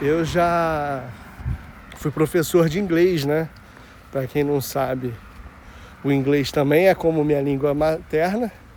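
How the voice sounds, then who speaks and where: This man's voice is fairly high in pitch, with ordinary pitch variation. He talks at a very slow pace with long, frequent pauses. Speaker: vlogger. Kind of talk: casual walking vlog. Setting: outdoors, walking. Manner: casual, slangy.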